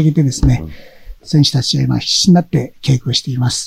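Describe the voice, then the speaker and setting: This man's voice sits fairly high in pitch, with a dark, mellow tone and a somewhat breathy quality. The sound is dry and close, with no echo. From Amami Oshima, Kagoshima, Japan. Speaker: karate federation leader. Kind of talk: interview.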